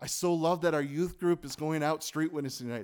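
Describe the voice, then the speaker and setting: Here a man talks at a fairly quick pace with fairly high pitch and ordinary pitch variation. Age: 40s. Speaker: pastor. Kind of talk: sermon. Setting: church. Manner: animated.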